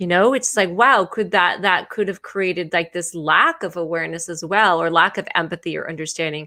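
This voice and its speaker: A bright, sharp tone with lively intonation, in an American accent at a moderate pace. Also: woman. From United States. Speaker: intimacy and relationship educator, show host. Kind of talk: live-streamed conversation. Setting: online live stream.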